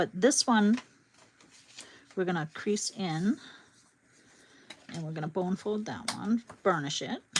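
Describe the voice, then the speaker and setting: A woman with a Boston accent, lively intonation, a fairly slow pace and long, frequent pauses. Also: medium pitch for a woman. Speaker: crafting YouTuber. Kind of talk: live craft tutorial. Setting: livestream. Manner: casual, chatty.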